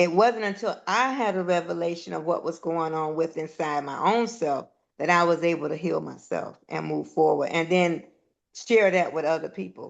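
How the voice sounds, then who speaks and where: A woman with an unremarkable speaking voice talks at a moderate pace, with a fairly low pitch and ordinary pitch variation. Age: 60s. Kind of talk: casual chat.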